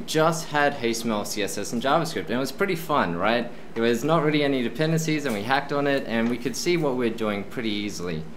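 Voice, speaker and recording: A man speaking at a fairly quick pace, with light background noise. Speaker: presenter. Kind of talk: tech talk presentation. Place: meeting room. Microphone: camera far.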